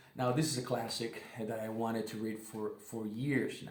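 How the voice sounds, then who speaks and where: A man speaks at a medium pitch and a moderate pace with fairly even intonation, with audible room echo and noticeable background noise. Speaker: booktuber. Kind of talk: casual book review vlog. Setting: living room at home. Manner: halting, many fillers and restarts.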